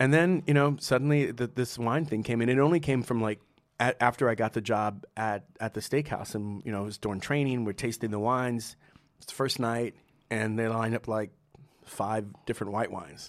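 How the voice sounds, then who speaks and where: With an American accent, a man talks at a fairly quick pace in a medium pitch with ordinary pitch variation. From New Jersey, US Northeast. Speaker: sommelier, winemaker and restaurateur. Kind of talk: casual interview. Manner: laid-back, laughs often.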